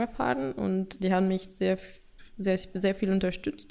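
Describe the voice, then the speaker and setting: This woman speaks with a Russian accent. Her pitch is medium and her pace fairly slow. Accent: noticeable Russian accent in German. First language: Russian (speaking German). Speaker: product owner at an IT consultancy. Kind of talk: casual interview. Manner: halting, with fillers.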